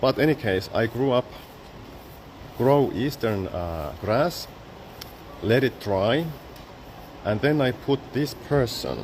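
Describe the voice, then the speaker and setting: Amid noticeable background noise, a man speaks very slowly at a medium pitch with lively intonation, taking long, frequent pauses. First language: Finnish. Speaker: photographer and exhibition artist. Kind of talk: exhibition guided talk. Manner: halting, with many fillers.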